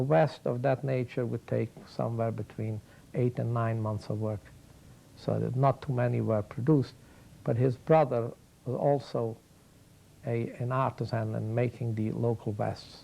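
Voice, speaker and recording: His voice has a dark, mellow tone with some breathiness. The man talks at a moderate pace. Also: medium pitch for a man, fairly even intonation. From Carpathian Ukraine. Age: 60s. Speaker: interviewee recounting childhood. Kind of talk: oral history interview. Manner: halting, many fillers.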